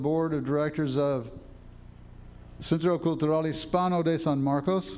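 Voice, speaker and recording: Audible room echo surrounds a man speaking at a moderate pace. His pitch is fairly high, with ordinary variation. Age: 80s+. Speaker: retired driver, nonprofit board member, public commenter. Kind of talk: public comment at board meeting. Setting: school board meeting, in person. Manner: formal.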